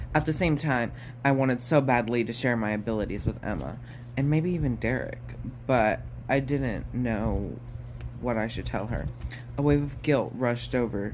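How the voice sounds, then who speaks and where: With audible room echo, a man at a medium pitch uses ordinary pitch variation and leaves long, frequent pauses. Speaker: audiobook reader. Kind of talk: reading aloud. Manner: fast; halting.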